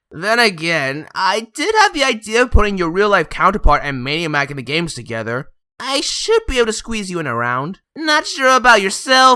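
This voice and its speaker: Very wide swings in pitch from an exaggerated, put-on character voice. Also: female-sounding voice, medium pitch for a woman, moderate pace. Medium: solo performance. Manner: theatrical, exasperated.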